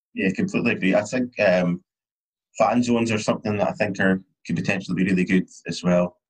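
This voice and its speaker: In a Scottish accent, a man speaks very fast at a fairly low pitch with ordinary pitch variation, the sound dry and close with no echo. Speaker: podcast host. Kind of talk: casual chat.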